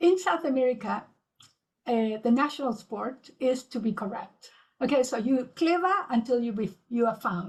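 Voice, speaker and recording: At a moderate pace, a woman talks in a high pitch. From Uruguay. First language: Spanish. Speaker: businesswoman, guest speaker. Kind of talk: webinar panel talk.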